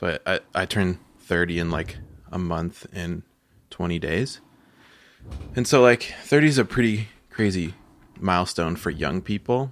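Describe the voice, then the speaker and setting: A man with a very deep, low pitch speaks at a fairly slow pace, with lively intonation. He leaves long, frequent pauses in a very clean recording with a silent background. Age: 30s. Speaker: podcast host. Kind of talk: casual chat. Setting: home studio. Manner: loud.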